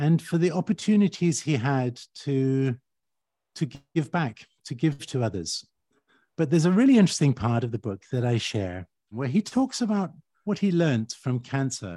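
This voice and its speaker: A man's fairly high, somewhat breathy voice with a dark, mellow tone and very wide pitch swings at a moderate pace, in dry, close sound with no echo. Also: very clean recording, silent background. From Uganda and Kenya. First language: Swahili. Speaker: architect. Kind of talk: interview.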